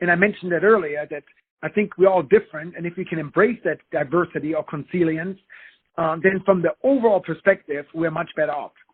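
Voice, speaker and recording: Speaking with a German accent, a man talks at a high pitch. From Germany. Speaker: business executive and consultant. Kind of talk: podcast interview.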